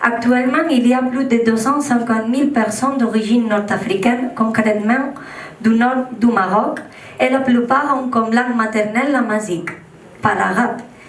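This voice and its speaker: A woman speaks at a fairly high pitch with fairly even intonation and very even loudness. Audible room echo and noticeable background noise fill the recording. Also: moderate pace. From Catalonia. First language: Catalan (speaking French). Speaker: political activist delegate. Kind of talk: conference speech, partly read aloud.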